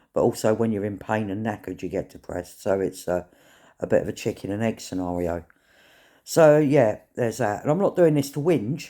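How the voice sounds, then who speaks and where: With a British accent, a man speaks at a fairly quick pace in a fairly low pitch with a dark, mellow tone. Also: lively intonation, very clean recording, silent background. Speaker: vlogger. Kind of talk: casual vlog monologue. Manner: halting.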